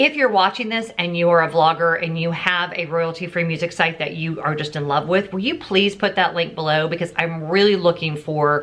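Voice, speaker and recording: With fairly even intonation and hardly any pauses, a woman with a fairly low pitch speaks at a moderate pace. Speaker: YouTube vlogger. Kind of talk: casual vlog. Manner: loud.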